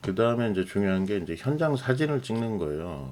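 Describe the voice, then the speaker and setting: A male voice with lively intonation. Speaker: lighting designer tutorial host. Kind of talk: tutorial. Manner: casual, filler-heavy with self-corrections.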